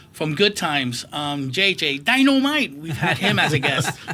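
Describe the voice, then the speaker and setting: Noticeable background noise under a male voice of fairly high pitch. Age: 60s. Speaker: comic convention organizer and collector. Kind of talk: interview. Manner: animated.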